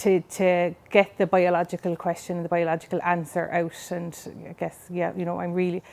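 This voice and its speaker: A woman speaks with a Cork accent at a moderate pace. Her voice is fairly low, and her intonation is monotone and flat. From Ireland, Cork City. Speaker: scientist. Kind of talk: interview.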